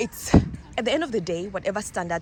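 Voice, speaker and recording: A woman with a non-native accent speaks with vocal fry. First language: not English. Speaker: vlogger. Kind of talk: casual vlog. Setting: outdoors.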